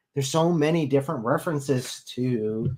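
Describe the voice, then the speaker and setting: His voice a bit breathy and fairly high, a man talks with lively intonation. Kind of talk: live stream call-in debate wrap-up. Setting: live stream.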